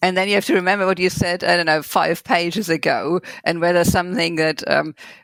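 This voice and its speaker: With a German accent, a woman speaks very fast at a fairly low pitch and with fairly even intonation. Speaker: novelist. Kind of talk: interview. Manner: halting.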